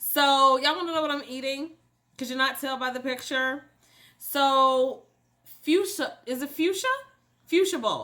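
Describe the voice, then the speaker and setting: A raised, projected voice with an American accent, animated and bright, sharp in tone, at a fairly slow pace with ordinary pitch variation and long, frequent pauses. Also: woman, high pitch for a woman. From US Midwest, Cincinnati. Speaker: mental health coach, YouTuber. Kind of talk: casual mukbang chat to camera.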